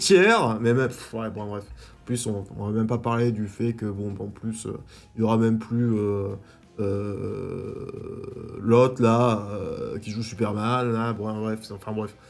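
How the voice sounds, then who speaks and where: Amid noticeable background noise, a man with a medium pitch and ordinary pitch variation speaks at a very slow pace with big swings in loudness. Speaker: YouTube film and TV reviewer. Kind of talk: casual video review. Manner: hesitant, many fillers and repetitions.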